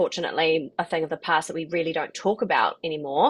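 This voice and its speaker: Talking at a fairly quick pace, a woman with a New Zealand accent has a fairly low pitch. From New Zealand, New Plymouth. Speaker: property investment coach. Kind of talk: webinar presentation. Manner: fast.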